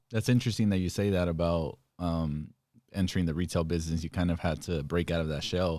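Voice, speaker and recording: A man's very deep, low voice with an American accent at a very fast pace, fairly even in intonation, on a very clean recording against a silent background. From Stockton, California. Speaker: podcast host; entrepreneur. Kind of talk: casual interview.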